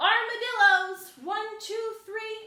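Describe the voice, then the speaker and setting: A squeaky, put-on character voice speaks in a monotone, flat intonation. There is a slight echo. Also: woman. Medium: read story.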